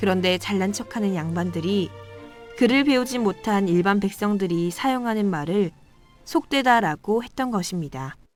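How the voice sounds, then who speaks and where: A woman's medium-pitched voice at a moderate pace, lively in intonation, with music in the background. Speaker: student radio host. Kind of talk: radio educational segment.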